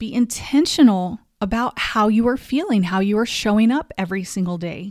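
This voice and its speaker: In a plain, everyday voice, a woman speaks at a moderate pace with lively intonation on a very clean recording with a silent background. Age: 40s. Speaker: wellness podcast host. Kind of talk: motivational monologue.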